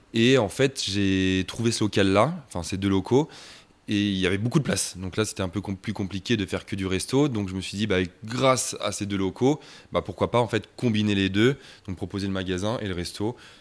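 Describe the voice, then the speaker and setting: An ordinary speaking voice from a man, fairly low in pitch with ordinary variation, at a fairly quick pace on a very clean recording with a silent background. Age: 30s. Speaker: shop and restaurant owner, pastry chef. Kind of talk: interview.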